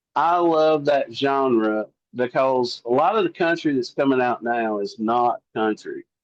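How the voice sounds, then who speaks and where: A man with a Southern US accent, fairly high in pitch, at a fairly slow pace with ordinary pitch variation. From US South. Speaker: country singer-songwriter. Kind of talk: interview. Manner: casual.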